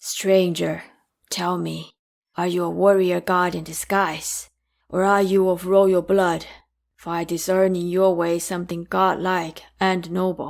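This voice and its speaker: A woman's put-on character voice, medium in pitch, monotone and flat, at a fairly slow pace. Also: very clean recording, silent background. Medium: solo performance.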